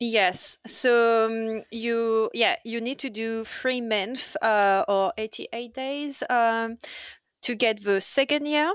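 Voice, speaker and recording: In a French accent, a woman speaks at a very slow pace with a fairly high pitch. Her pitch varies in an ordinary way against a quiet background. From France. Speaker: waitress. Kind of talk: casual chat. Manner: halting.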